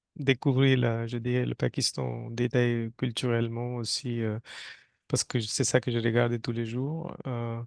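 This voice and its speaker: Fairly slow speech from a man with a Hindi accent, medium pitch, flat monotone intonation, and a dry, close sound without echo. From North India (Rajasthan). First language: Hindi (speaking French). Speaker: environmental engineer and Hindi teacher. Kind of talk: interview. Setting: studio. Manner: halting, many hesitations.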